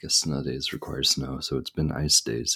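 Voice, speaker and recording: A quiet man with a very deep, low pitch and vocal fry. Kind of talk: casual monologue. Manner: quiet, low-energy.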